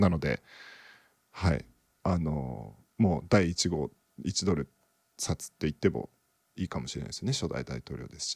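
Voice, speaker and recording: Heard in a dry, close sound with no echo, a man with a very deep, low pitch and vocal fry speaks at a moderate pace, using lively intonation, big swings in loudness and long, frequent pauses. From Japan, Okinawa. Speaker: podcast co-host. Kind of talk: casual chat.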